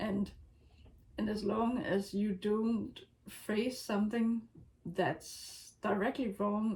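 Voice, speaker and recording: In a non-native accent, a woman talks at a fairly high pitch. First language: not English. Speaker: writer vlogger. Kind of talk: casual talk to camera. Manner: hesitant, many fillers.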